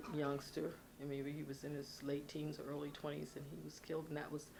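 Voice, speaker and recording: A woman with a very deep, low pitch speaks in a monotone, flat way, with audible room echo. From Philadelphia, US. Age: 70s. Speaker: former TV talk show host. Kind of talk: oral history interview. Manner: halting.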